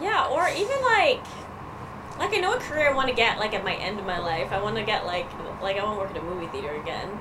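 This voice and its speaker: A woman with a Canadian accent at a very fast pace, with audible room echo and noticeable background noise. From Canada, Winnipeg, Manitoba. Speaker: comedian. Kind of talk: casual chat. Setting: outdoors.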